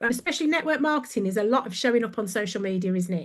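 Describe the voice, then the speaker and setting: A woman with a Brummie accent speaks in an animated tone, her pitch rising and falling in an ordinary way. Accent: Brummie (Birmingham). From Birmingham, England. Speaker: brand coach. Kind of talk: podcast interview, casual chat.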